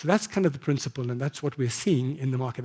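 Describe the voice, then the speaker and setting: Somewhat breathy with a dark, mellow tone, a man speaks at a fairly high pitch with ordinary pitch variation. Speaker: marketing executive. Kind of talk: conference talk. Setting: stage with audience. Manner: fast.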